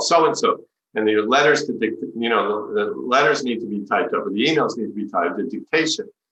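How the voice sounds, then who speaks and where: A man rattles along at a very fast pace with hardly any pauses. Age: 60s. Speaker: spiritual teacher. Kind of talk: talk.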